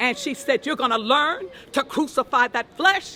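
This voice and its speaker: A woman talks at a moderate pace in a raised, projected voice. Her pitch is high. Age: 70s. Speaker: victim's relative, churchgoer. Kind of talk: street interview. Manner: emphatic, preacher-like.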